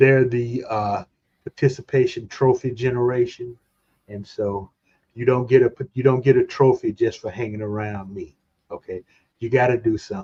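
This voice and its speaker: A man's dark, mellow, somewhat breathy voice with fairly even intonation, big swings in loudness and long, frequent pauses. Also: medium pitch for a man, moderate pace, dry, close sound with no echo. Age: 60s. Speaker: streamer hosting a movie channel. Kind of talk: casual chat. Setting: live stream.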